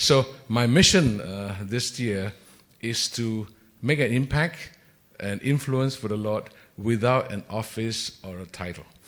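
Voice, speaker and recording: This man talks fairly slowly at a medium pitch, his pitch varying normally while his loudness swings widely. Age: 60s. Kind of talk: panel discussion. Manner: hesitant, many fillers.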